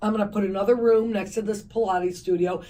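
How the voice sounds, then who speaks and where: This woman's tone is dark and mellow. Her intonation stays fairly even. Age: 60s. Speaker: fitness company founder. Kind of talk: radio interview.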